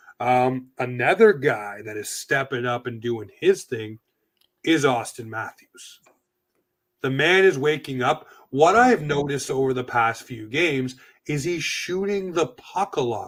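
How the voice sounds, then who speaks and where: A man speaks at a fairly slow pace and medium pitch in an animated tone, his intonation lively and his loudness swinging widely. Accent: slight East Coast Canadian. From Atlantic Canada. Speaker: sports podcast host. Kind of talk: casual chat.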